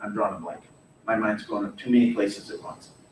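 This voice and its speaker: The room echo is audible. There is noticeable background noise. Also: man. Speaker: history teacher. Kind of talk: lecture.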